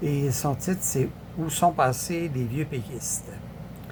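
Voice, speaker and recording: In a Quebec accent, a man speaks very slowly with ordinary pitch variation, and the room echo is audible. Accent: Québécois French. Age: 70s. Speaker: political commentator. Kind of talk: casual political commentary. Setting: social media video. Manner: halting, many fillers.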